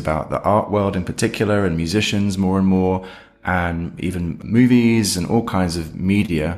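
This man has a very deep, low pitch and a British accent. He talks at a moderate pace with fairly even intonation. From Britain. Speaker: head of audio, co-host. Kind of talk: casual podcast discussion. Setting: remote recording.

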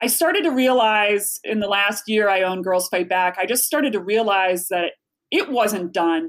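In an ordinary speaking voice, a woman with an American accent speaks at a moderate pace and medium pitch, with lively intonation and very even loudness. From Chicago. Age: 40s. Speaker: author and speaker. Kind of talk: casual interview chat.

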